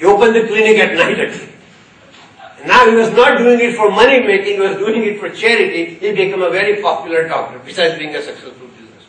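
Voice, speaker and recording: Over noticeable background noise, a man talks very fast in a high voice, with ordinary pitch variation and big swings in loudness. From India, Gujarat (Ahmedabad). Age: 70s. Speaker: corporate trainer and keynote speaker. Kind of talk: keynote speech.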